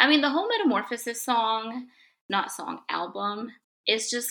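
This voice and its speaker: With a Spanish accent, a woman speaks at a moderate pace in a bright, sharp tone and a fairly high pitch. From Mexico. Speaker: guest, Hillary Duff fan. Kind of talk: casual chat.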